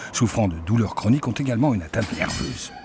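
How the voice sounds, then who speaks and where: Over noticeable background noise, a man talks fairly quickly in a fairly low pitch with lively intonation. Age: 60s. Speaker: patient testimonial narrator. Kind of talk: scripted narration.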